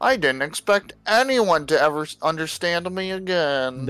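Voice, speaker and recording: A man's put-on character voice at a high pitch. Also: moderate pace. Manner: spooky, eerie.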